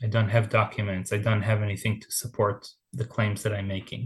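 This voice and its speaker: A man speaks at a medium pitch, somewhat breathy. The background is quiet. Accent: Israeli. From Israel, Tel Aviv. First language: Hebrew. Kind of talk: interview.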